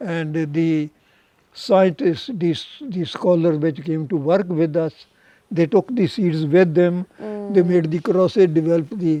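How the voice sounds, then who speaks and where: A man with a high voice and a dark, mellow tone speaks at a fairly slow pace with ordinary pitch variation, the sound dry and close with no echo. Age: 80s+. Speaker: rice breeding scientist. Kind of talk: interview answer.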